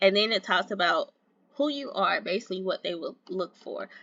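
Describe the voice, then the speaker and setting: The woman uses a normal speaking voice and keeps to a moderate pace. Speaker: YouTuber giving job search tips. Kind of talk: casual tutorial with screen walkthrough. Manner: casual, chatty.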